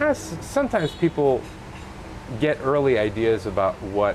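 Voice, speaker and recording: A man speaks at a moderate speed with noticeable background noise behind him. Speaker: podcast host. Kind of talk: podcast interview.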